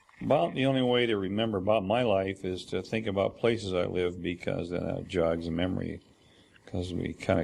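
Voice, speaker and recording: With an American accent, a man talks in a very deep, low pitch with ordinary pitch variation. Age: 70s. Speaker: memoir narrator. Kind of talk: oral history recording. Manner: halting, with frequent fillers.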